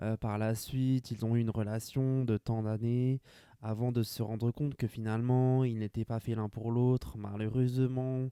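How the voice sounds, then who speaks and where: A man with a medium-pitched, dark, mellow voice speaks in a flat monotone at a fairly slow pace, recorded very cleanly against a silent background with a dry, close sound and no echo. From France, Grand Est (rural village). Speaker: podcaster. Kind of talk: casual solo monologue.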